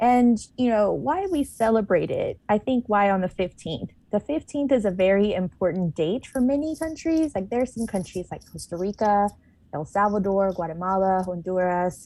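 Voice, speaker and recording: With a dark, mellow tone, a woman speaks at medium pitch and a moderate pace, her intonation lively. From Panama. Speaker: community advocate and radio host. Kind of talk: radio interview. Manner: casual, many fillers.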